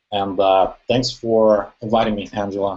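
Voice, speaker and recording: A man's fairly low voice with a dark, mellow tone and a non-native accent. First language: not English. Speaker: online marketer. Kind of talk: testimony.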